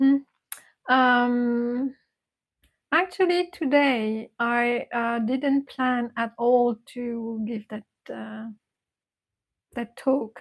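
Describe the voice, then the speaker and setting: In a dry, close sound with no echo, a woman with a non-native accent speaks at a high pitch and a very slow pace, with fairly even intonation, big swings in loudness, and long, frequent pauses. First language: not English. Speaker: meditation teacher. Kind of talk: casual chat. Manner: halting.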